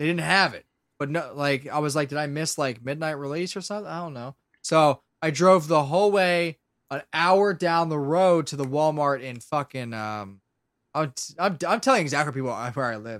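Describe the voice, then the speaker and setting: At a moderate pace and with ordinary pitch variation, the speaker talks in a Philadelphia accent with big swings in loudness, captured in a very clean recording with a silent background. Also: man, fairly high pitch for a man. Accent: Philadelphia-area American. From Pennsylvania, Lancaster area. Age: 20s. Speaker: audio drama creator and voice actor. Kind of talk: casual chat.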